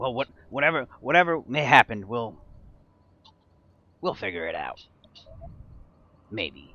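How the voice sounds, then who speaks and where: Using a put-on character voice, a man speaks at a moderate pace and medium pitch, with long, frequent pauses. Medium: actual play. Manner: bickering, jittery.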